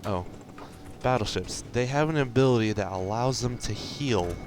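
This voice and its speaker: A man talks at a moderate pace and ordinary pitch variation while music plays behind him. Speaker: gaming video creator. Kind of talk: gameplay commentary. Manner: quiet, held back; casual, rambling.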